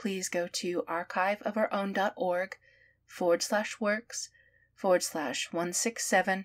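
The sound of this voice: An unforced reading voice with fairly even intonation carries through the clip.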